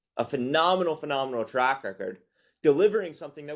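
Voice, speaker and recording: A man with an American accent, an unremarkable speaking voice, lively intonation and a moderate pace. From United States. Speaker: investment product strategist. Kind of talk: webinar presentation. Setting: online webinar.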